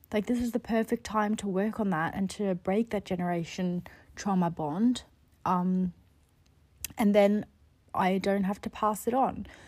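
A woman speaks at a medium pitch in a somewhat breathy voice, at a fairly slow pace with long, frequent pauses. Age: 20s. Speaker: podcast host and life coach. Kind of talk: casual solo monologue. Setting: lying in bed at home. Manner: chatty, animated.

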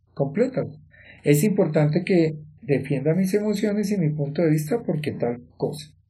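Audible room echo surrounds a man whose fairly high voice has a dark, mellow tone and lively intonation at a moderate pace. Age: 50s. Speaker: life coach and podcast host. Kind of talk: motivational monologue.

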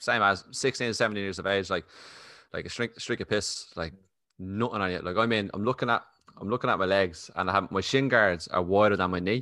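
Fairly quick and fairly low-pitched, a man speaks in a bright, sharp tone with fairly even intonation on a very clean recording with a silent background. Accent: Irish. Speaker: podcast host. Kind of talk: casual interview chat. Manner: fast talker.

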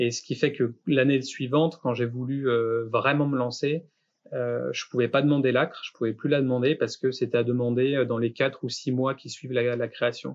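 A monotone, flat intonation at a moderate pace. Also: man, medium pitch for a man. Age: 30s. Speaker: graphic design studio founder, podcast host. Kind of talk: casual chat, portfolio review. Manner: halting.

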